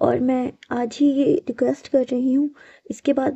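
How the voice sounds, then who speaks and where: Intonation stays fairly even here. The speaker is a woman with a high-pitched voice. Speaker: fan fiction narrator. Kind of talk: casual chat to viewers.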